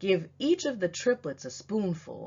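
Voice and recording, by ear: A put-on character voice with a husky, rough edge, vocal fry, a dark, mellow tone and big pitch swings at a fairly slow pace. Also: woman, fairly low pitch for a woman.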